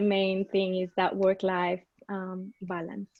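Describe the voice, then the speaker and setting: A woman speaks with a Colombian accent. Her pace is very slow and her intonation monotone and flat. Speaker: business strategy and marketing coordinator. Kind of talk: panel discussion.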